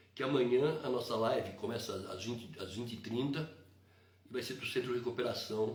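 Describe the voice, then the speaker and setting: A man at a medium pitch and moderate pace with ordinary pitch variation, in audible room echo. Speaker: evangelical live stream host. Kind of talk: religious live stream talk. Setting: live stream.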